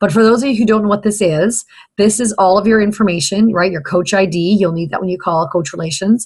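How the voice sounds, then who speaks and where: At a very fast pace, a woman with a medium pitch and ordinary pitch variation speaks in a somewhat breathy voice. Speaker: fitness business coach. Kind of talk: training video for new coaches. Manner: hesitant, many fillers.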